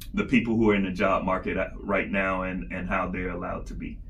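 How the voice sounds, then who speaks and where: A speaker with an American accent is heard with audible room echo. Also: man. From South Georgia (Albany), US South. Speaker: podcast co-host. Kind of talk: casual chat. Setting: studio, recording in person in Atlanta.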